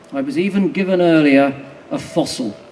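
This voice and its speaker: This man's voice sits fairly high in pitch and moves with lively intonation. Noticeable noise runs in the background. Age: 60s. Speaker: naturalist campaigner speaking at a rally. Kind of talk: rally speech. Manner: rousing.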